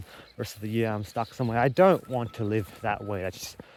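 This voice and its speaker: This man has an Australian accent and a medium-pitched voice. His intonation is fairly even and his pace fairly quick. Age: 20s. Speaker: vlogger. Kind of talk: vlog monologue. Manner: halting.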